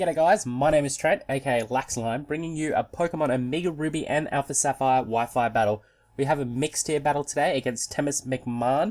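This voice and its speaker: With hardly any pauses, a man with a fairly high voice moves at a fairly quick pace and ordinary pitch variation, on a very clean recording over a silent background. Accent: Australian. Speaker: gaming YouTuber. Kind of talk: gameplay commentary. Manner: casual, hesitant with repetitions.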